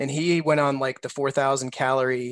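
An ordinary speaking voice, a man with a fairly high pitch talks at a moderate pace in a dry, close recording with no echo and a quiet background. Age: 40s. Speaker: baseball prospect analyst. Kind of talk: casual chat.

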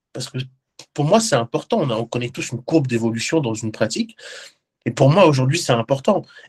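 At a fairly quick pace but with long, frequent pauses, a man at medium pitch speaks with lively intonation and a somewhat breathy voice, the sound dry and close with no echo. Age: 20s. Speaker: professional bodybuilder and digital transformation consultant. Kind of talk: interview. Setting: video call.

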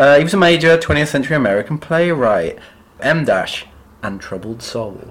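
A man talks with an English accent at a moderate pace. His intonation is lively.

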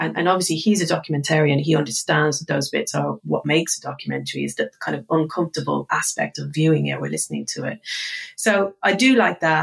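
With a slightly husky edge and vocal fry, a woman speaks at a low pitch.

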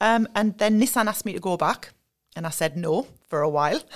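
A woman with a Sunderland accent, lively intonation, and a very fast pace, in a very clean recording with a silent background. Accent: Mackem (Sunderland) North East English. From North East England, Sunderland. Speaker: learning and development staff at a car maker. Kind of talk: podcast interview.

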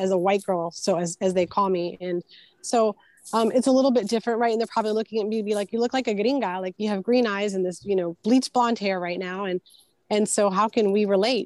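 An unremarkable speaking voice from a woman at medium pitch, fairly quick pace and fairly even intonation, dry and close with no echo over a quiet background. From Houston, Texas (born in Puerto Rico). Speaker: attorney and university lecturer. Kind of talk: interview.

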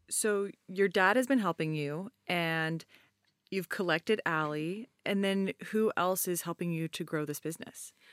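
Here a woman has an unremarkable speaking voice, fairly low in pitch with ordinary pitch variation. The sound is dry and close, with no echo. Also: fairly slow pace. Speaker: podcast host and company co-founder. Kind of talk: interview with ad read.

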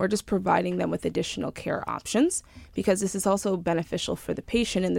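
Against a silent background on a very clean recording, a woman with an American accent speaks at a very fast pace. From Long Island, New York. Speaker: startup founder. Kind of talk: interview.

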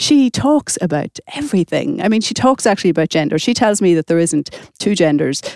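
In an Irish accent, a woman talks at a fairly quick pace with very wide pitch swings and a dry, close sound with no echo. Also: medium pitch for a woman. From Ireland. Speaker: author. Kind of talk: casual chat.

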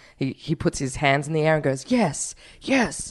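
A woman's playful, very deep and low voice with an Australian accent. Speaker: podcast co-host. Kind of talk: casual comedy chat. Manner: playful, joking.

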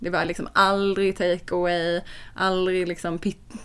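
A woman with an ordinary speaking voice talks at a moderate pace and medium pitch in a very clean recording with a silent background. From Sweden. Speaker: podcast co-host, food blogger. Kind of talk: casual chat. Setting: lying in bed.

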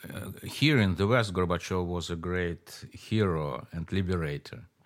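A man with a Russian accent speaks at a fairly slow pace in a very deep, low voice with ordinary pitch variation. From Moscow, Russia. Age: 60s. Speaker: author. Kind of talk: interview conversation. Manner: animated, laughs often.

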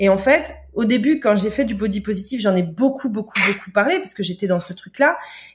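The voice is somewhat breathy. It belongs to a woman speaking at a medium pitch. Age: 30s. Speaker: Instagram content creator sharing weight loss journey. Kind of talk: casual chat.

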